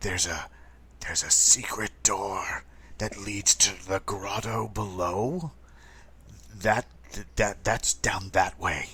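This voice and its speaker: A man's put-on character voice, raspy and fairly low-pitched, at a fairly slow pace with long, frequent pauses. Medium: actual play. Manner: stammering, halting.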